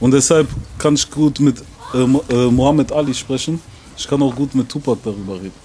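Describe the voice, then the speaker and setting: A man's voice at a fairly quick pace, ordinary pitch variation, light background noise. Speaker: rapper; interviewee. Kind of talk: casual interview. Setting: outdoors. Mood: relaxed, casual. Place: street. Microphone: handheld.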